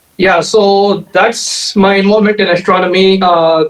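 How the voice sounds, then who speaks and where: The speaker is a man with a high-pitched voice. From India, Bangalore. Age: 30s. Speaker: amateur astronomer and software engineer. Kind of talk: podcast interview. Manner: hesitant, many fillers.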